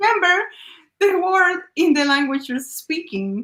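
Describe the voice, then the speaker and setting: A woman with a non-native accent at a moderate pace, her pitch swinging very widely. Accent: noticeable non-native. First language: not English. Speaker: business owner. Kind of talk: interview.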